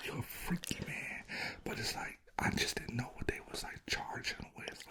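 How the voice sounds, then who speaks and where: Whispering at a moderate pace, a man is heard against noticeable background noise. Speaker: podcast host, half of a couple. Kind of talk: casual podcast conversation with his partner.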